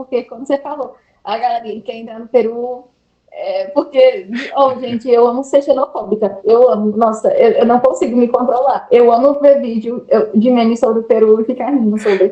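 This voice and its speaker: At a moderate pace, a woman speaks in a high pitch, her loudness swinging widely. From Brazil, Bahia interior (Juazeiro). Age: 20s. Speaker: English teacher abroad. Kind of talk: interview. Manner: animated.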